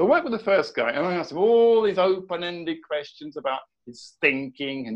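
A man speaks at a fairly quick pace with a southern English accent. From southern England. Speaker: education coach. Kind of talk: casual interview.

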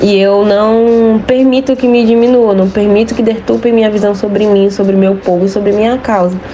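Over noticeable background noise, a woman speaks at a moderate pace with hardly any pauses, her fairly high voice monotone and flat and her loudness very even. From southern Bahia, Brazil (Tupinambá of Olivença). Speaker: medical student. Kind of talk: interview.

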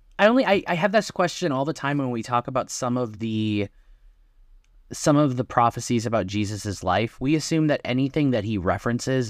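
A man with an Upper Midwest accent, medium pitch, lively intonation and a moderate pace, in a very clean recording with a silent background. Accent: Upper Midwest American. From Wisconsin. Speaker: podcast co-host. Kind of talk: bible study discussion.

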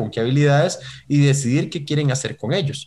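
A man speaks very fast in a somewhat breathy, fairly high voice with fairly even intonation, on a very clean recording with a silent background. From Costa Rica. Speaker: talent management consultant. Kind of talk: interview.

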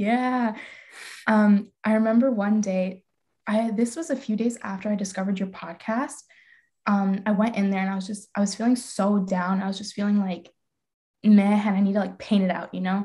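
A woman talks at a moderate pace with a medium pitch and fairly even intonation. Her tone is dark and mellow, and somewhat breathy. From Calgary, Canada. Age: young. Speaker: podcast guest, old school friend. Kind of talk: casual chat.

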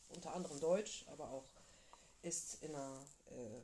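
A woman talks here. Her pitch moves up and down in a normal way. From northern Germany, flatland. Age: 30s. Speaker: podcast co-host. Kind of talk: casual chat.

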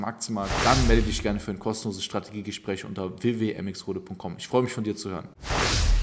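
Against noticeable background noise, a man talks at a fairly quick pace. His pitch is fairly low and his intonation monotone and flat. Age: 20s. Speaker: stock market investor and finance coach. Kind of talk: casual monologue.

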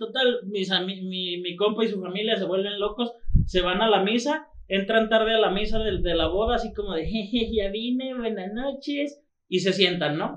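The man's voice is high-pitched. He speaks with a Mexican accent. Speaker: football podcast host. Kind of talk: casual chat.

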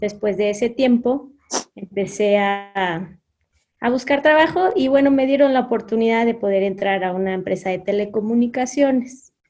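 A woman with a Mexican accent speaks at a fairly slow pace in a fairly high voice with a dark, mellow tone. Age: 30s. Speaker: HR consultant and entrepreneur. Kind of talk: interview. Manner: halting.

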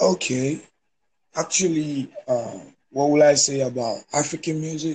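Dark, mellow male speech, somewhat breathy, with fairly even intonation. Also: fairly high pitch for a man, fairly slow pace. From Nigeria. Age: 20s. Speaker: online music promoter. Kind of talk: casual chat. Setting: phone call. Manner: halting.

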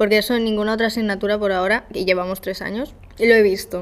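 The pitch moves in a typical way. Words come out very fast. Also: woman. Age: 20. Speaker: journalism student. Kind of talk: casual chat. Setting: university classroom with echo. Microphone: echo, uneven distance to mic.

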